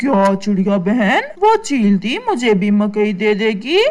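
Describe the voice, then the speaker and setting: A cartoonish character voice, female-sounding, at medium pitch and a fairly slow pace. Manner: eager.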